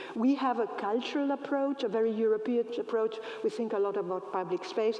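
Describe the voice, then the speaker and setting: A woman with a fairly high pitch talks at a fairly quick pace while noticeable background noise plays underneath. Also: very even loudness. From Greece. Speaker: professor and design researcher. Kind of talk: lecture.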